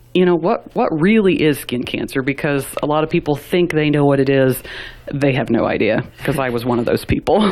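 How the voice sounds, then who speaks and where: A woman's very deep, low voice at a fairly quick pace, lively in intonation and very even in loudness, over noticeable background noise. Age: 30s. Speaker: radio personality and musician. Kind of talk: interview. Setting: radio studio.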